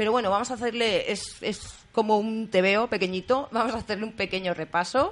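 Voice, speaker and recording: An unremarkable speaking voice at a fairly quick pace, with fairly even intonation. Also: woman, fairly high pitch for a woman. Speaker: community radio host. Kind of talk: radio magazine show.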